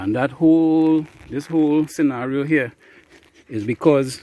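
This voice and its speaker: Heard as a dry, close sound with no echo, a man with a fairly high pitch talks at a fairly slow pace with ordinary pitch variation. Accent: Trinidadian. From Trinidad. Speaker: beekeeper. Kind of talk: casual vlog narration. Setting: outdoors. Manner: casual, hesitant with fillers.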